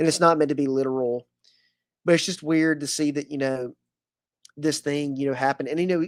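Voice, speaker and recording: A fairly quick pace, very clean recording and a silent background. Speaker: podcast host. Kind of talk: panel discussion. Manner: halting.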